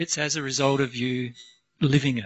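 A man at a moderate pace, quiet background. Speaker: speaker. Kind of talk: lecture. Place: meeting room. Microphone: handheld.

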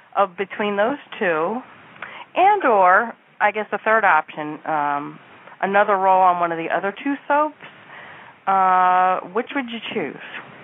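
Speaking at a fairly slow pace with long, frequent pauses, a woman uses a medium pitch and lively intonation. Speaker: caller. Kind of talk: call-in. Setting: phone call. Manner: shaky, jumbled.

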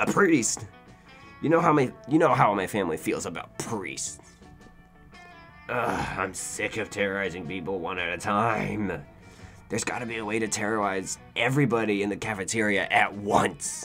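With clear music in the background, a man does a put-on character voice at a fairly low pitch and a moderate pace. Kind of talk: comic video game dialogue reading. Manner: gruff, blunt, bored menace.

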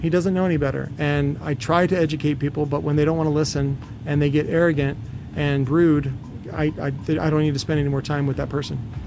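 Vocal fry colors speech delivered at a fairly quick pace with little pitch movement. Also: man, fairly high pitch for a man.

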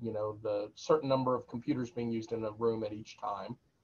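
Pitch varies in an ordinary way. The speech moves at a fairly quick pace. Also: man. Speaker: university instructor. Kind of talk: lecture. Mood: firm, instructive. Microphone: webcam.

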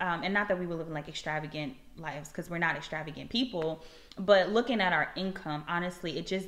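A woman with an American accent, fairly low-pitched, at a fairly quick pace. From US South. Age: 20s. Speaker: campus minister and YouTuber; campus minister, YouTuber. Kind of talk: casual vlog monologue, personal testimony. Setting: at home. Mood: earnest, reflective testimony. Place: home room. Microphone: phone near.

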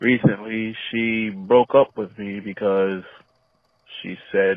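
Over a quiet background, a man speaks with fairly even intonation, the sound dry with no echo. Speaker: caller. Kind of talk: personal confession on voicemail. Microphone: phone line.

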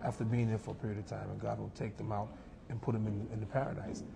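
Over noticeable background noise, a man with an American accent talks at a fairly low pitch. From New York, USA. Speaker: imam, Islamic speaker and guest. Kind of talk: religious talk in a TV interview. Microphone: lapel.

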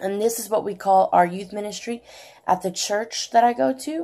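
A woman's dark, mellow voice at a fairly slow pace, with lively intonation. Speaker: nail art youtuber; nail art vlogger. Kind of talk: casual chat and tutorial. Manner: casual, filler words. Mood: cheerful, chatty. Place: home room. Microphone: phone near.

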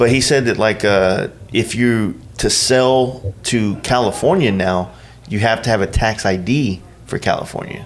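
At a fairly slow pace, a man with an American accent talks over noticeable background noise. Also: medium pitch for a man, ordinary pitch variation. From Texas. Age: 30s. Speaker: podcast host and motorcycle rider. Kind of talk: casual chat. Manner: laid-back.

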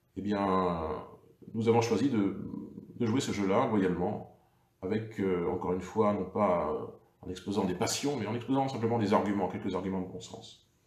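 Long, frequent pauses break up a man's speech at a moderate pace, his pitch fairly low. His intonation stays fairly even, and room echo is audible. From France. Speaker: local politician. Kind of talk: political livestream monologue. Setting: Facebook live video. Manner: hesitant, many fillers. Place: home room. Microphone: webcam.

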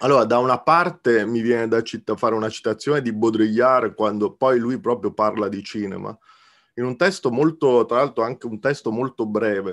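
The background stays quiet. This man talks at a moderate speed, and his pitch varies in an ordinary way. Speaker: guest. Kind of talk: film analysis discussion. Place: home room. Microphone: video call.

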